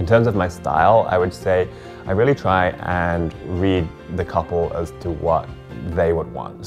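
Clear music plays in the background as a man speaks with a very deep, low pitch. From England. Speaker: wedding videographer. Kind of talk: casual talk to camera. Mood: warm, friendly, relaxed. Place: home room.

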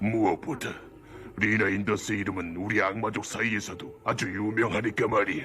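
Over clear background noise, a man uses a cartoonish character voice, pitched fairly low and delivered at a fairly quick pace. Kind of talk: anime dub dialogue.

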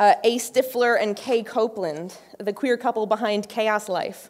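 A woman at a very slow pace over a quiet background. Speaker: conference speaker. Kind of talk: lecture. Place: stage. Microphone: podium.

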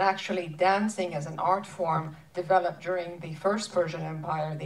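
A woman with a normal speaking voice, fairly low pitch, fairly even intonation and a moderate pace. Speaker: interviewer. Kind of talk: panel Q&A. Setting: stage with audience. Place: stage.

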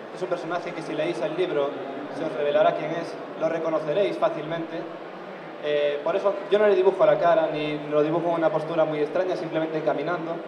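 A high-pitched man at a fairly quick pace with fairly even intonation over noticeable background noise. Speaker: illustrator on a panel. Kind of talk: panel talk explaining his artwork. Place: hall.

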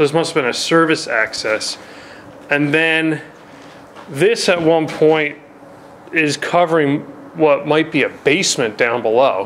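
With long, frequent pauses and ordinary pitch variation, a man talks at a fairly slow pace over light background noise. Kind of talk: casual exploration commentary. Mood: admiring, calm. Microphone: phone near.

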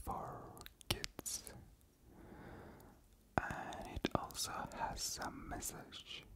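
Very slow, whispered speech from a woman. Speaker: ASMR creator. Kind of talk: ASMR whispered ramble. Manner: whispered, soft. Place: home room. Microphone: studio mic.

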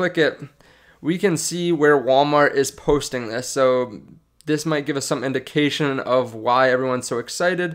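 Against a quiet background, a man with a fairly high pitch speaks at a fairly slow pace with ordinary pitch variation. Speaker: stock market YouTuber. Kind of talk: casual video commentary. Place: home room. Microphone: studio mic.

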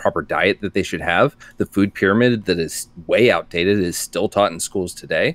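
A man with a plain, everyday voice speaks at a moderate pace in a fairly low register with ordinary pitch variation, the sound dry with no echo. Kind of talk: casual chat. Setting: video call. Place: home room.

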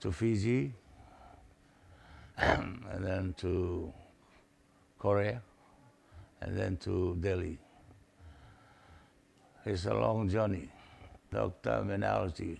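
With vocal fry and a very deep, low pitch, a man speaks at a very slow pace with long, frequent pauses. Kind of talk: interview answer. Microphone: lapel.

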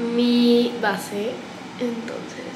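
A woman speaks in a high voice over noticeable background noise. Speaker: beauty vlogger. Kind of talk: casual vlog chat. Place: bathroom. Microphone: phone near.

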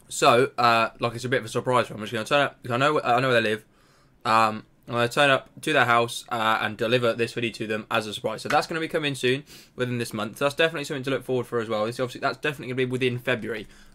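The pace is very fast. This man's intonation remains fairly even. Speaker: small channel creator. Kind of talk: casual vlog chat. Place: home room. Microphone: webcam.

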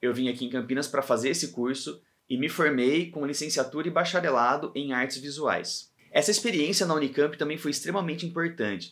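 A man talks at a fairly quick pace with hardly any pauses. His pitch is fairly high, with ordinary variation, over a quiet background. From Brazil, São Paulo state (Pedreira); São Paulo state, Brazil. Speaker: comic artist and illustrator; comics creator. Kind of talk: scripted talk to camera. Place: home room.

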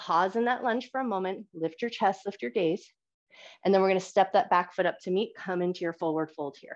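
Against a quiet background, a woman speaks in a calm tone at a fairly quick pace, with medium pitch and ordinary pitch variation. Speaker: yoga instructor. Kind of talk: live yoga class instruction, flowing cue-by-cue through vinyasa transitions. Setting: live recorded online class. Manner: calm, steady rhythmic cueing synced to breath; gentle, encouraging and warmly affirming. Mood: calm, encouraging. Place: home room.

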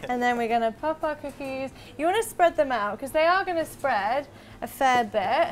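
Light background noise sits behind a woman's high-pitched voice. Her intonation is lively. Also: moderate pace. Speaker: presenter. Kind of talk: tutorial. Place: kitchen.

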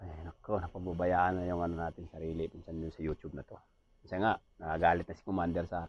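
Very deep and low, a man's voice moves at a very fast pace with big swings in loudness, and the sound is dry with no echo. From Visayas, Philippines. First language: Cebuano (speaking Tagalog). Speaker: vlogger and aircraft ground mechanic; vlogger. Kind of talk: casual vlog monologue. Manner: animated. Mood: joking, playful. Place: home room.

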